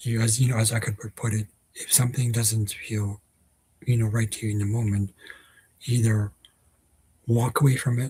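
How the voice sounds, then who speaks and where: A man of medium pitch speaks at a moderate pace with a dark, mellow tone, a somewhat breathy quality, monotone, flat intonation, and long, frequent pauses. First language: not Dutch (learner of Dutch). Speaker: vlogger. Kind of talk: casual vlog monologue. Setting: at home. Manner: hesitant, many fillers.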